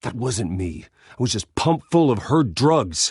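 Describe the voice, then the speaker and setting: A put-on character voice with growling, very wide pitch swings and a moderate pace. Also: man, medium pitch for a man. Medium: video game. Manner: tense, guarded.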